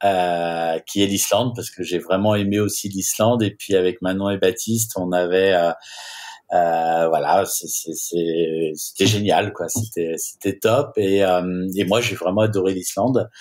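Against a quiet background, a man with a fairly low pitch speaks very slowly with fairly even intonation. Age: 40s. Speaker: wedding photographer; guest. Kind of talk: casual chat. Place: home room.

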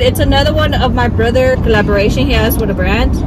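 The voice sounds dry with no echo, though loud background noise runs underneath. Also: woman. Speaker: mother vlogger. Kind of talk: casual vlog chat. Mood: cheerful and chatty. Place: car. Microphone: phone near.

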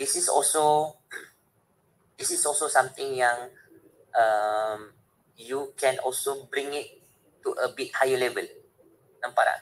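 Speaking at a very slow pace with long, frequent pauses, a man talks with a Malaysian accent. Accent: Malaysian English code-switching with Malay. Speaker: university lecturer and trainer. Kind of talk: webinar lecture. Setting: video call. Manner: animated.

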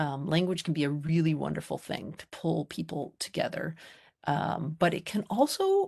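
Against a quiet background, a woman with an American accent speaks at a moderate pace. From US. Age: middle-aged. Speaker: psychology professor. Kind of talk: lecture. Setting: video call. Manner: halting. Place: home room. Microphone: video call.

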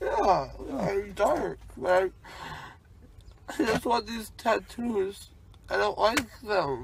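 A man speaks at a very slow pace. The sound is dry with no echo, with noticeable background noise. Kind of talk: groggy casual talk. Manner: groggy, slurred post-anesthesia speech. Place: car.

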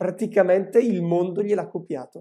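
A man's high-pitched, dark, mellow voice, with ordinary pitch variation, a fairly slow pace and a quiet background. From northern Italy, Lumezzane (Brescia); Italy. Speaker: industrial designer and teacher; teacher. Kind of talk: casual chat. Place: home room. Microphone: video call.

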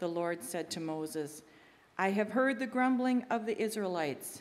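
Using a normal speaking voice, a woman talks at a moderate pace with ordinary pitch variation. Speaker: lay scripture reader. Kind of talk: scripture reading. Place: church. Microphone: podium.

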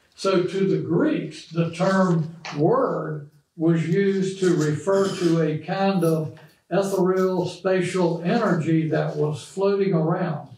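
Over light background noise and audible room echo, a man talks at a very slow pace in a high voice, with fairly even intonation and very even loudness. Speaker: bible study teacher. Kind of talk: lecture. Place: classroom.

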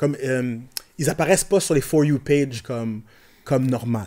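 A man with a Quebec accent speaks in a dark, mellow tone at a medium pitch. His pace is fairly quick, and the background is quiet. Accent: Québécois French. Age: 40s. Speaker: rapper and IT technician; podcast guest. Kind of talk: casual chat. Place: studio. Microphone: studio mic.

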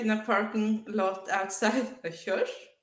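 In a room with audible echo but a quiet background, a woman with a bright, sharp tone speaks at a very slow pace. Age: 30s. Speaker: author and artist. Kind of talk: testimony. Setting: video call. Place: home room.

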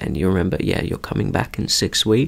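A man whispering. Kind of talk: roleplay doctor discharge talk.

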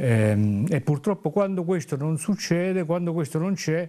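The man's intonation is lively. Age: 60s. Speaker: trade union official; talk show guest. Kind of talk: TV interview. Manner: halting. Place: studio. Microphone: lapel.

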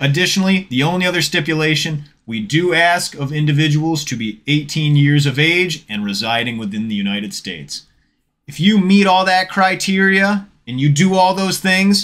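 A man's intonation is lively as he talks at a moderate speed. Nothing much can be heard behind him. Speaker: card-opening channel host. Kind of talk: casual giveaway announcement. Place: home room. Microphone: studio mic.

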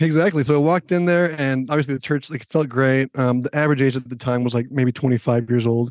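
A man talks in a plain, everyday voice at medium pitch, with fairly even intonation. His fairly quick delivery has hardly any pauses, and the sound is dry and close with no echo. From Minnesota, US (Minneapolis). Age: 30s. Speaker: church technical director and lighting designer. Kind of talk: casual interview. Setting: podcast recording.

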